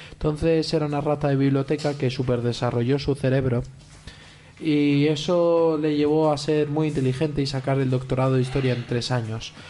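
A man at a fairly high pitch with a dark, mellow tone, monotone, flat intonation, very even loudness and a moderate pace. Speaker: podcast co-host and player. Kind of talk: role-playing game.

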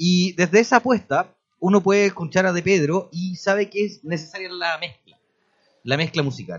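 A man with a high pitch at a moderate pace. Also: ordinary pitch variation. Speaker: radio host. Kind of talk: radio interview; read-out book promo.

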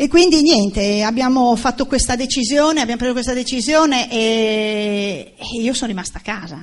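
A plain, everyday voice from a woman, fairly high in pitch, with lively intonation and a fairly slow pace. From Udine, Friuli, Italy. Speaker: former police officer turned network marketing entrepreneur. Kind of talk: motivational talk to audience.

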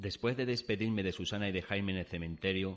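A man with a very deep, low pitch talks very fast in a dramatic tone. His intonation stays fairly even. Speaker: dramatized story narrator (voice actor). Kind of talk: dramatized ghost story, first-person narration. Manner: tense, suspenseful, hushed then startled; dramatic, vivid, building dread.

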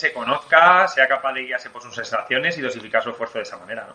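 Noticeable background noise runs behind the recording. A man with a Spanish accent talks at a very fast pace. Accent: Spain Spanish. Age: 40s. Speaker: podcast host, sports science doctor. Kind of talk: casual interview.

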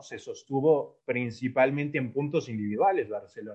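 A man with an unremarkable speaking voice at a moderate pace. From Ecuador. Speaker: football analyst. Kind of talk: casual football analysis chat.

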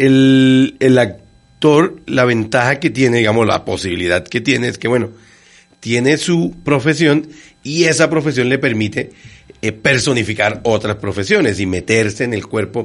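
Lively in intonation, a man speaks at a fairly slow pace in an unremarkable speaking voice with medium pitch. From Bogotá, Colombia. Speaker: radio host and language teacher. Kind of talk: casual interview.

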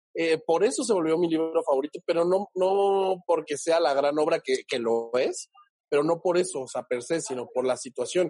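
Recorded dry and close with no echo, a man speaks at a moderate pace with a high pitch and ordinary pitch variation. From Mexico, Oaxaca (Huatulco). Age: 30s. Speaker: actor and screenwriter. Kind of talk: interview. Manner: halting, many fillers and repeats.

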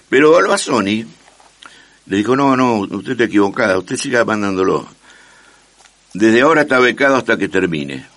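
Against noticeable background noise, a man talks at a fairly quick pace broken by long, frequent pauses. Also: medium pitch for a man, lively intonation. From Argentina, Rosario. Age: 70s. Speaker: pianist and composer. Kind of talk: casual interview.

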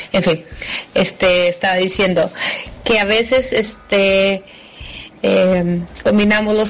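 A woman with medium pitch and fairly even intonation talks over noticeable background noise. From Mexico, Guadalajara. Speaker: expatriate giving testimony. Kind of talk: testimony.

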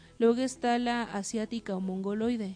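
A woman speaks in a fairly high voice with a dark, mellow tone and fairly even intonation over a quiet background. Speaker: radio show host. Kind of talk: casual radio talk.

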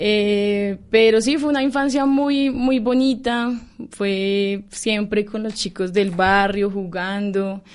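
With ordinary pitch variation, a woman speaks at a medium pitch and a very slow pace. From Colombia, Bogotá. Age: 20s. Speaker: university student. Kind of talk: radio interview.

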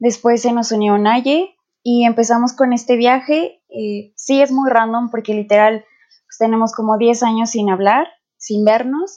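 A woman speaks at a fairly high pitch and a fairly slow pace, with ordinary pitch variation and a dark, mellow tone. Her loudness swings widely. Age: 20s. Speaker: podcast co-host, student. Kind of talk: casual chat. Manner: hesitant, with fillers.

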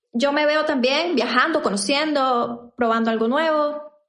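Audible room echo surrounds this woman's voice. She speaks with ordinary pitch variation. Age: 20s. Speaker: podcast co-host. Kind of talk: casual chat.

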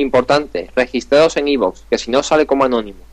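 A man speaks at medium pitch in an Andalusian accent. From Andalusia, Spain. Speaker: gaming podcast host. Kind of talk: casual chat.

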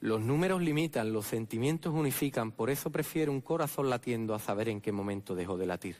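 In an Andalusian accent, a man at medium pitch talks at a fairly quick pace with lively intonation and hardly any pauses. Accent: Andalusian (Jerez). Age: 30s. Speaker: Holy Week proclaimer (pregonero). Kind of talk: preacher oratory, solemn pregón. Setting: theatre stage with audience. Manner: rhetorical, solemn, impassioned, rhythmic.

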